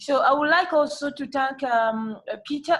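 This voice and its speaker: In a French accent, a woman talks at a moderate pace. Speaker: civil society peacebuilder. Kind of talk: panel discussion remarks. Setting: video call. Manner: halting.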